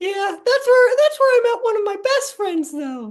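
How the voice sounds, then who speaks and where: Someone puts on a squeaky character voice at an extremely high pitch. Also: moderate pace. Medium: comedy sketch. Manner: deadpan, unflappable.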